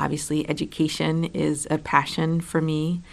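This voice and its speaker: A woman's very deep, low voice with vocal fry and flat, monotone intonation against a quiet background. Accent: American. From New York City. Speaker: state legislator. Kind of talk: personal introduction, prepared monologue.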